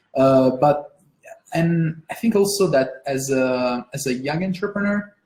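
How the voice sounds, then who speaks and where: A woman with an Italian accent speaks in a very deep, low pitch and a dark, mellow tone. Her pace is fairly slow and her intonation lively. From Italy. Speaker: interviewer. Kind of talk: interview. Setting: live stream. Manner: hesitant, many fillers.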